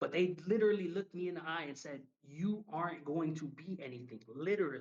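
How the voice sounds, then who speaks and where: Speaking very fast in a New York accent, a man uses a high pitch with ordinary variation. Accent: New York City. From New York City, Harlem. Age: 30s. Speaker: professional wrestler. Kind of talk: casual interview chat.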